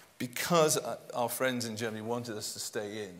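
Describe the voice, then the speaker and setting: A man with a British accent and lively intonation, with audible room echo and noticeable background noise. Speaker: real estate consultant panellist. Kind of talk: conference panel discussion.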